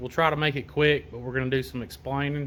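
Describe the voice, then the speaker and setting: On a very clean recording with a silent background, a man with a fairly high pitch talks in a strong Southern accent. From US South. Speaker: auto parts maker demonstrating product. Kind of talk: product walkthrough tutorial. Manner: casual, halting with fillers.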